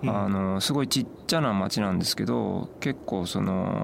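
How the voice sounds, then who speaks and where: Over noticeable background noise, a man speaks at a fairly low pitch with very wide pitch swings. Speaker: travel bookshop owner. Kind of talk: radio interview. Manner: hesitant, many fillers.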